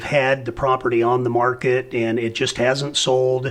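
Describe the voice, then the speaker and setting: A man with an American accent and an ordinary speaking voice talks at a medium pitch and a fairly slow pace, with fairly even intonation. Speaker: auctioneer. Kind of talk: interview.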